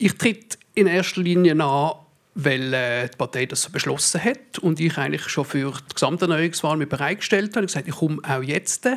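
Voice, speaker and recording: At a moderate pace, a man speaks in an unremarkable speaking voice with a fairly high pitch. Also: lively intonation. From Basel, Switzerland. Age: 30s. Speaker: politician. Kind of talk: panel debate. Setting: stage with audience.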